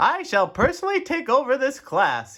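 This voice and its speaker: A man's put-on character voice, extremely high in pitch, with very wide pitch swings. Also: moderate pace. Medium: read story. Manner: formal, pompous.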